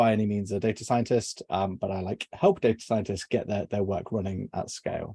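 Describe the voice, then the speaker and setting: A man with a southwest English accent speaks at a fairly low pitch in a dark, mellow tone. The sound is dry and close with no echo, on a very clean recording with a silent background. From southwest England. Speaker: software engineer. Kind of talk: technical presentation. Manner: hesitant, many fillers.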